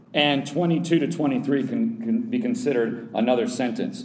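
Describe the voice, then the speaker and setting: In a room with audible echo, a man talks at a moderate pace with a fairly high pitch and very wide pitch swings. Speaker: Bible teacher. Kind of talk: Bible study lecture.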